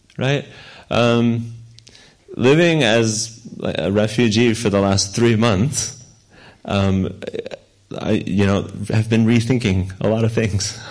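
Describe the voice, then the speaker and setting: A man speaks at a very slow pace with long, frequent pauses, his medium pitch carrying fairly even intonation. His loudness stays very even, and audible room echo surrounds the voice. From Ukraine. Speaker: missionary pastor. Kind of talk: sermon with interpreter. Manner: slow, with pauses for translation.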